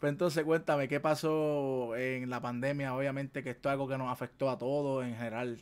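A man with a Puerto Rican accent, talking at a fairly quick pace with hardly any pauses. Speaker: gaming podcast host. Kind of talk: casual chat. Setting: livestream. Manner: animated. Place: home room.

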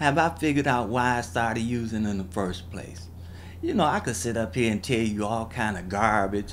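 A man with an American accent talks at a moderate pace with fairly low pitch. His pitch varies an ordinary amount, with light background noise. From US. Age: 50s. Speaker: person recounting drug addiction. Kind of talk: testimony. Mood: candid, reflective, self-critical.

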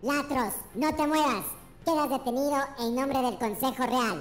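A put-on character voice that sounds female, moving at a moderate pace. Background noise is clearly audible. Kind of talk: comic-book adventure voice acting. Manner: earnest, defiant.

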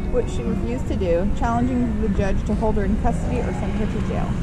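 A very fast pace amid loud background noise. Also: woman. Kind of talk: reading clues aloud, casual family talk. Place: street. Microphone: camera far.

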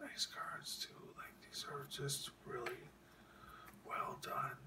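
Someone is whispering at a very slow pace. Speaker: hockey card collector and ASMR whisperer. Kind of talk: casual talk to camera, card showing. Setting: late night, home recording. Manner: whispered, soft-spoken. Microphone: phone near.

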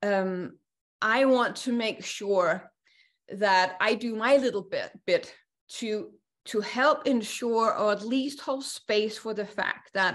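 At a very slow pace, a woman speaks over a quiet background with ordinary pitch variation. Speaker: course facilitator. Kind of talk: lecture. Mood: calm, earnest. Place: home room. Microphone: video call.

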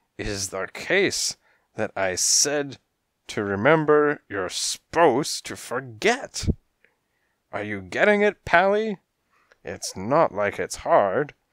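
A put-on character voice, raspy and gravelly, moves through very wide pitch swings at a fairly slow pace with long, frequent pauses, in a very clean recording with a silent background. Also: man, fairly high pitch for a man. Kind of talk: comic hardboiled pastiche. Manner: threatening, exasperated; menacing, tough-guy gangster talk.

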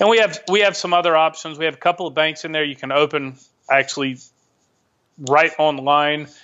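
A man speaks at a fairly quick pace in a plain, everyday voice with a fairly high pitch. His intonation is fairly even, and the background is quiet. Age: 40s. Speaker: expat investor and asset protection adviser; podcast guest. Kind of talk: casual interview. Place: home room.

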